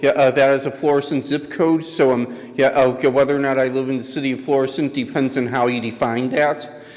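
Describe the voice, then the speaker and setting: Over noticeable background noise, a man with a fairly high voice speaks at a fairly quick pace in a monotone, flat intonation. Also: hardly any pauses. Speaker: resident commenting at public hearing. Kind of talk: public comment at council meeting. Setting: council chamber with audience. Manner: halting, many fillers.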